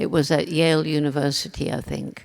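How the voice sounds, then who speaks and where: A woman speaks in a British accent at a moderate pace. Her pitch is very deep and low. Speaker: ethologist and conservationist. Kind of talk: interview answer.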